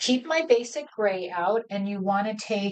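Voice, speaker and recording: A woman speaks at a fairly slow pace. Her pitch is medium. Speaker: cardmaking instructor. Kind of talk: live crafting tutorial. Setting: live stream. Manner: mumbles to herself at times; casual, halting.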